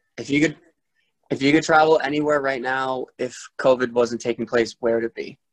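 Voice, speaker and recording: A man with an American accent and a plain, everyday voice speaks at medium pitch and a fairly quick pace with fairly even intonation, the sound dry and close with no echo. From Rhode Island, US. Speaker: podcast host. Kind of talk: casual chat.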